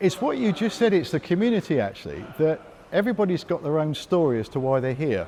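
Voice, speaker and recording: Talking very fast with very wide pitch swings, a man uses a fairly high pitch and a British accent. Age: 60s. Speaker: gym member. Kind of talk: interview testimony.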